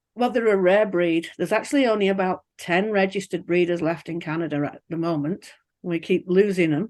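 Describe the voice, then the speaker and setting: A woman speaks with an English accent at a moderate pace. The background is quiet. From England. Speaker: pig farmer. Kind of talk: interview. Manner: chatty.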